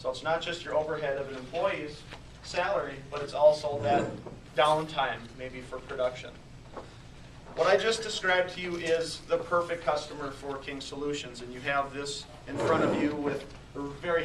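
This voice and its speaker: A man speaks with fairly even intonation over noticeable background noise, with audible room echo. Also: fairly high pitch for a man, moderate pace. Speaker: salesperson presenting at a business networking meeting. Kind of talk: business presentation. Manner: soft-spoken.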